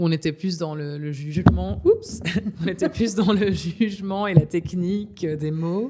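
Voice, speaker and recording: A woman's ordinary speaking voice, fairly low in pitch, at a fairly slow pace, with big swings in loudness and ordinary pitch variation. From Belgium, Namur area. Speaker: singer-songwriter. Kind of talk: interview.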